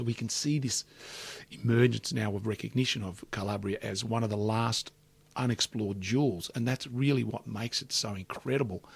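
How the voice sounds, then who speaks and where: A man, somewhat breathy, at a fairly quick pace with fairly even intonation. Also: medium pitch for a man. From Australia (Melbourne eastern suburbs), Calabrian family. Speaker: business executive and entrepreneur. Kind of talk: interview conversation.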